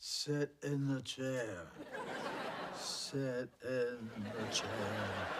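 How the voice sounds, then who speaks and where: Using a put-on character voice, a man speaks very slowly at a medium pitch. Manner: spooky, drawn out.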